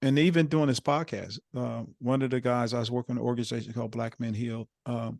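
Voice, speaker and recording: A man speaks in a normal speaking voice at a medium pitch. His pace is fairly quick with hardly any pauses, and the sound is dry and close with no echo. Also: fairly even intonation. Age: 60s. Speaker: podcast host. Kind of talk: interview.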